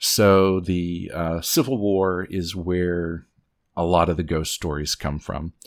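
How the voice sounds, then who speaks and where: A man talks very slowly in a very deep, low voice with fairly even intonation. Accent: Appalachian. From Southwest Virginia. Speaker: podcast host guest. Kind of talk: casual chat, storytelling. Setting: remote recording.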